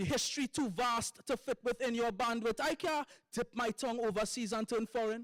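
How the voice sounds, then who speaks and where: A man with a Trinidadian accent, recorded dry and close with no echo, very clean against a silent background. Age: young. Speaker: poet. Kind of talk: poetry performance.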